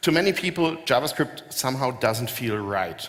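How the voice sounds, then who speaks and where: With a German accent, a man talks at a moderate pace and medium pitch, his pitch varying in an ordinary way against noticeable background noise. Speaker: software company founder giving a keynote. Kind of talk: conference keynote. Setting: stage with audience. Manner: hesitant, many filler words.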